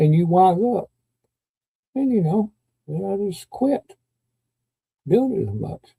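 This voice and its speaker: A man with a high voice speaks at a very slow pace, leaving long, frequent pauses. His tone is dark and mellow, and his intonation is lively. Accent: Kentucky. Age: 60s. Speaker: YouTube live streamer. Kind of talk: casual live stream chat. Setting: live stream. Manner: halting, with many fillers.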